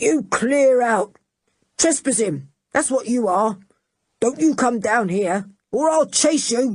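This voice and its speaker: A female-sounding voice puts on a husky, growling character voice at a fairly high pitch. She speaks at a fairly slow pace with long, frequent pauses. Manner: angry, bawling, scolding.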